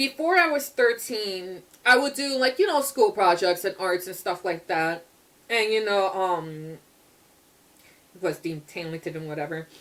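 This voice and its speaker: Her tone is animated, with lively intonation. The woman talks at a moderate pace in a medium pitch. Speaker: artist vlogger. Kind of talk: casual chat. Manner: loud.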